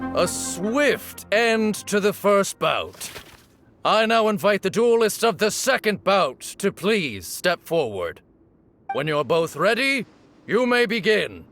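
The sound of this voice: Using a put-on character voice, a man speaks slowly at a high pitch with a fairly bright tone and big pitch swings while faint music plays in the background.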